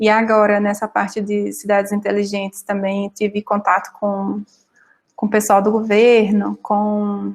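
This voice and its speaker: Fairly slow speech from a woman with a voice of medium pitch. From Brazilian Northeast. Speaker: data analyst. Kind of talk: panel talk.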